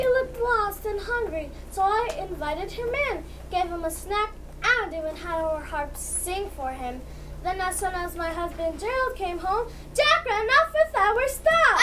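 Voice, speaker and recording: A female-sounding voice in a put-on character voice goes extremely high at a moderate pace, over loud background noise. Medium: stage play. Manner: indignant.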